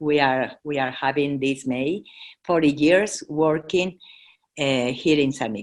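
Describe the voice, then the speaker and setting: The speaker has a Mexican accent and ordinary pitch variation. The pace is fairly slow. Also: woman, very deep, low pitch for a woman. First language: Spanish. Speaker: charity president. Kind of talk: presentation. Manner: halting, many fillers.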